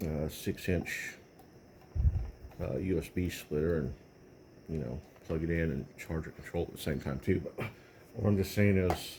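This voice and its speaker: An American accent with vocal fry, ordinary pitch variation, a moderate pace and long, frequent pauses. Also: man, very deep, low pitch for a man. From Texas. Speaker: tech video creator. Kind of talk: casual tech review talk. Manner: halting, many fillers.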